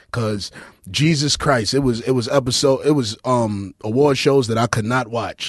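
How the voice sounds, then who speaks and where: A man with a Brooklyn accent at a moderate pace, ordinary pitch variation and a quiet background. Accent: Brooklyn New York. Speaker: podcast host. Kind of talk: casual banter, comedic. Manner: joking, irreverent.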